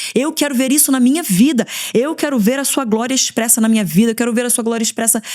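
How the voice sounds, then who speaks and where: Noticeable background noise accompanies a woman who talks at a very fast pace in a high pitch. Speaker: pastor and podcast host. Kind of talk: devotional teaching. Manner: animated.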